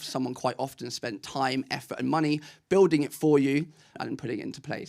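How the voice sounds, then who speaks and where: A man speaks with an English accent. His fairly high voice holds a fairly even intonation. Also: very clean recording, silent background. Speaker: ecommerce marketing speaker. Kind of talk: conference talk. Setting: stage with audience. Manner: fast.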